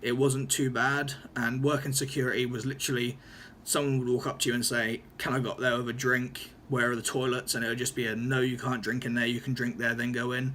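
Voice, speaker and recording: A man's medium-pitched voice in an East Anglian accent, bright and sharp in tone, flat and monotone, at a fairly quick pace. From Norfolk, England. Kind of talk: casual talk to camera. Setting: room with open window, background traffic noise. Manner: hesitant, stuttering.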